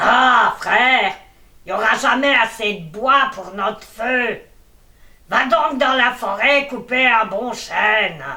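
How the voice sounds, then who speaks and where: A put-on character voice delivers its lines at a fairly slow pace and a fairly high pitch. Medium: read story. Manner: bossy, blunt.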